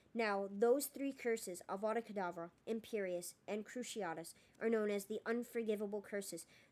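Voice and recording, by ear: The words are being read aloud. A natural voice carries them.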